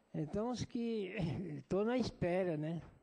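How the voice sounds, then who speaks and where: Delivered at a very slow pace, the voice is dark and mellow, with ordinary pitch variation. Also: man. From Brazil. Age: 90s. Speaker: war veteran, rubber soldier. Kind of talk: testimony at a public hearing. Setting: senate committee hearing room.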